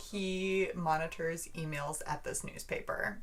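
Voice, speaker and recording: Amid audible room echo, a woman with an American accent talks at a fairly slow pace. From US Midwest. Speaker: book vlogger. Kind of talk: casual book review. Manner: animated.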